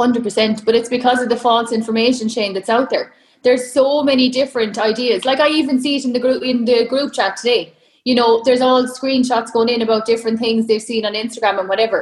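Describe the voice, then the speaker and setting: With an Irish accent, a woman speaks in a high voice with monotone, flat intonation. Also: fairly quick pace. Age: 30s. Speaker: online fitness coach. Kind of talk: casual interview chat.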